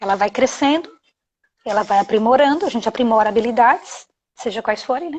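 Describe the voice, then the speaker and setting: Talking at a fairly quick pace, a woman uses lively intonation. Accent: strong Bahian. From Bahia, Brazil (Salvador). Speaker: anti-bullying educator, live stream host. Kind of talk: live stream talk. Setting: live video stream. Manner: animated. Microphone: connection freezing.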